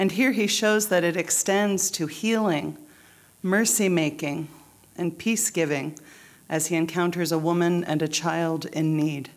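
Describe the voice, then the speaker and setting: In a normal speaking voice, the words come at a fairly slow pace with ordinary pitch variation and very even loudness, on a very clean recording with a silent background. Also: woman, fairly low pitch for a woman. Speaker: church preacher. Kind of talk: scripture reading.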